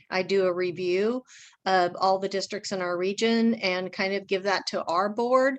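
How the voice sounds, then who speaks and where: A woman speaks in an ordinary speaking voice at a moderate pace. Her pitch varies in an ordinary way, and the background is quiet. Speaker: school district finance administrator. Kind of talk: budget presentation to a school board. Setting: school board meeting.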